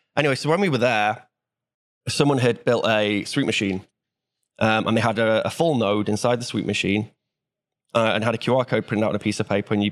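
Speaking in a Welsh accent at a very fast pace, a man keeps to a medium pitch. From Wales. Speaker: software developer. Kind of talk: casual chat.

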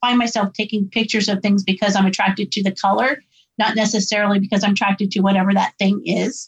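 A woman speaks at medium pitch with little pitch movement. She keeps a fairly quick pace.

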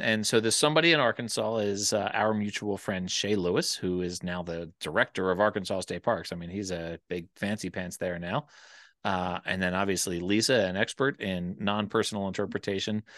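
With an American accent, a man talks fairly quickly at a fairly low pitch. His pitch variation is ordinary, and the background is quiet. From US Northeast, Philadelphia area. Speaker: nonprofit executive director. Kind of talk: casual interview conversation. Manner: halting, frequent fillers.

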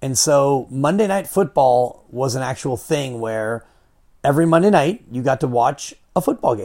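With an American accent, a man talks at a moderate pace in a fairly high pitch, his intonation lively and his tone dark and mellow. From Marin County, California. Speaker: radio broadcaster and former basketball coach. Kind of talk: casual interview.

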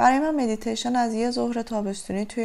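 Noticeable background noise behind a woman's voice. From Iran, Tehran. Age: 30s. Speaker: writer and medical sciences student. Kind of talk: personal testimony.

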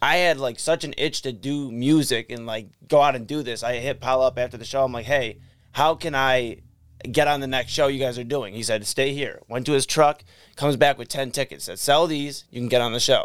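A man with an unremarkable speaking voice and a medium pitch talks at a fairly quick pace with fairly even intonation. The recording is very clean, with a silent background. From Cleveland, Ohio. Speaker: rapper. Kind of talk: casual chat.

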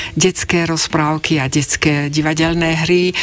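There is noticeable background noise. Through it, a woman speaks at a fairly slow pace. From Slovakia, Bratislava. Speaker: writer and translator. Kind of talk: interview.

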